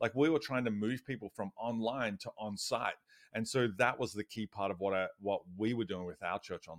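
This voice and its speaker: In a very clean recording with a silent background and a dry, close sound with no echo, a man with an Australian accent talks at a moderate pace in a medium pitch with ordinary pitch variation. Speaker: church digital strategist and author. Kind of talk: casual interview chat.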